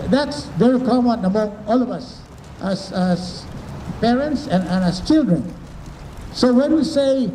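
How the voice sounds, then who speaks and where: At a fairly slow pace, a man with a Filipino accent speaks with ordinary pitch variation, amid noticeable background noise and audible room echo. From Philippines. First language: Tagalog. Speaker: professor. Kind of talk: talk to children and parents.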